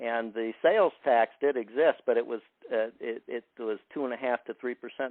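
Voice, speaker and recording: Moderate pace and a medium-pitched male voice. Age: 60s. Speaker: caller. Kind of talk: call-in question at town hall. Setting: phone call. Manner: halting, many fillers.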